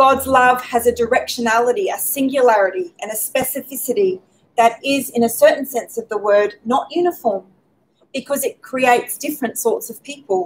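A woman speaks at a moderate pace in an Australian accent. Her pitch is high, with ordinary pitch variation. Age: 40s. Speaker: speaker at faith talk event; speaker. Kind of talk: prepared talk. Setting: pub with live audience, streamed. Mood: calm, reflective. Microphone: podium.

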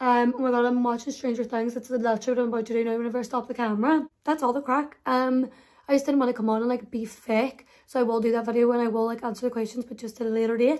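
A woman speaks at a very fast pace in a high voice. Her intonation is flat and monotone. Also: quiet background. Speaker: vlogger. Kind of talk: casual vlog chat. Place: home room. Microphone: phone near.

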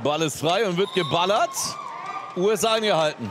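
The speech moves at a moderate pace with lively intonation over noticeable background noise. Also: man. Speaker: live match commentator. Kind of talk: live sports commentary, play-by-play. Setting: in the hall with crowd.

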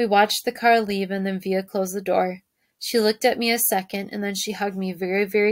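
Natural-voiced reading aloud, with fairly level intonation and a quiet backdrop

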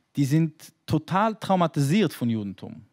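A man speaks over a quiet background. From New York, ultra-Orthodox community. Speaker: rabbi. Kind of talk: panel discussion. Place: stage. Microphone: handheld.

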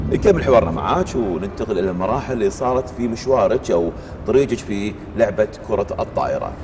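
Lively intonation marks this man's speech at a moderate pace. Noticeable background noise runs underneath. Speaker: TV show host. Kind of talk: TV interview. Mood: calm, friendly. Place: gym. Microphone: lapel.

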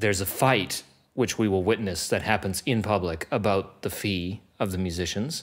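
A man's fairly low voice, a normal speaking voice with ordinary pitch variation, at a fairly slow pace over a quiet background. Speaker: podcast host. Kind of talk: podcast conversation. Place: studio. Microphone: studio mic.

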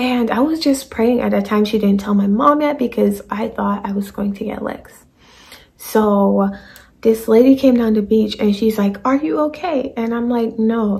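A woman talks at a moderate pace with ordinary pitch variation against a quiet background. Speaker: vlogger. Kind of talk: casual story time vlog. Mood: animated, dramatic retelling. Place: home room. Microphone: phone near.

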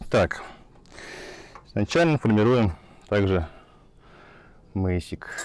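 The voice has a slightly mellow tone and lively intonation at a slow pace. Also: man, fairly low pitch for a man.

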